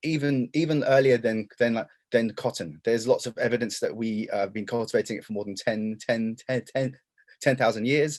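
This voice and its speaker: A man with an English accent speaks at a medium pitch with ordinary pitch variation. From England. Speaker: denim historian and lecturer. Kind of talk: presentation. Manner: fast; halting, many repetitions and fillers.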